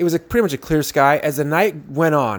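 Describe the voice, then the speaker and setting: This man's lively intonation comes at a moderate pace. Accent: American. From San Jose, California. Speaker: sobriety vlogger. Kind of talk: casual monologue. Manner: casual, halting with fillers.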